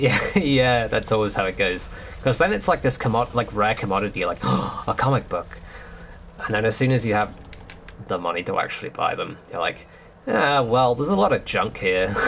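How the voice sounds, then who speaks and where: With lively intonation and a medium pitch, a man talks at a moderate pace over noticeable background noise. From northern England. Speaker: video game streamer. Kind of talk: casual chat. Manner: casual, hesitant with many fillers.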